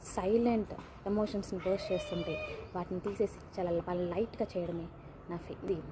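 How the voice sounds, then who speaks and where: The speech keeps a fairly even intonation while noticeable background noise carries on. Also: woman. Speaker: emotional support companion for women. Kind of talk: personal video message. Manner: gentle.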